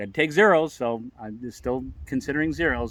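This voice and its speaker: This man has an unremarkable speaking voice with lively intonation. The recording is very clean, with a silent background. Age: 60s. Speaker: long-distance hiker vlogger. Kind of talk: casual chat.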